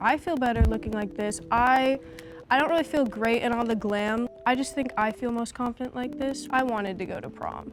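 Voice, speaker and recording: A woman speaks at a moderate pace with a fairly high pitch and ordinary pitch variation, music playing in the background. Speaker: reality show participant. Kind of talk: confessional interview. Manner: anxious when speaking.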